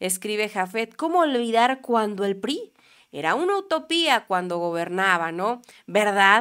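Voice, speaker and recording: Over a quiet background, a woman with a bright, sharp tone speaks at a fairly slow pace, her pitch swinging very widely. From Mexico. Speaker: political commentary youtuber. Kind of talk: political news commentary. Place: studio. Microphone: studio mic.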